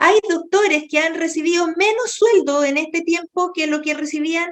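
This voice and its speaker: A woman's fairly quick, lively-toned delivery. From Chile. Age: 60s. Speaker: doctor. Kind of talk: interview.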